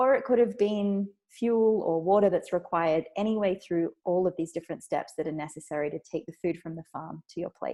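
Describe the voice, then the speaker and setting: A woman's medium-pitched voice with an Australian accent, a dark, mellow tone and ordinary pitch variation. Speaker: food systems researcher and author. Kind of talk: talk or lecture.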